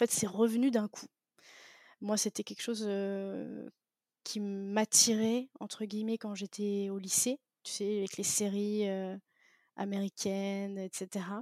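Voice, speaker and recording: In a very clean, dry and close recording with a silent background and no echo, a woman at medium pitch speaks very slowly with long, frequent pauses. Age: 20s. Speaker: podcast host, digital marketer. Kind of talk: interview, casual chat. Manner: halting, many fillers; animated.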